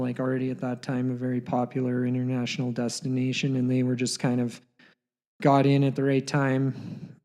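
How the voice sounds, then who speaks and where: A man with a western Canadian accent, medium in pitch, speaks with monotone, flat intonation in a dark, mellow tone. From Canada, Alberta (Canmore). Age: 30s. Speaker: pro skier. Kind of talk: interview. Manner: halting.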